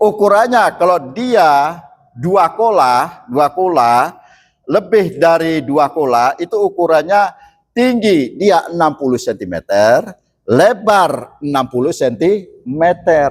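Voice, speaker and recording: A high-pitched man speaks at a very slow pace. His loudness stays very even. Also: lively intonation. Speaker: Islamic preacher. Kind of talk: sermon. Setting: mosque. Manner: halting.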